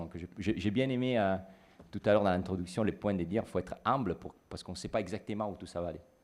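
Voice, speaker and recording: With a slight Italian accent, a man speaks at a fairly quick pace in a fairly low pitch, using ordinary pitch variation. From Italy. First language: Italian (speaking French). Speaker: business consultant. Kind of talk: panel discussion. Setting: stage with audience. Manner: halting.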